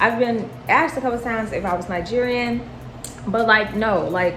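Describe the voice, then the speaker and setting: Over noticeable background noise and audible room echo, a woman speaks at a moderate pace with a fairly high pitch and lively intonation. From US. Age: 20s. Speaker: vlogger. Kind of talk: casual Q&A chat. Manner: animated.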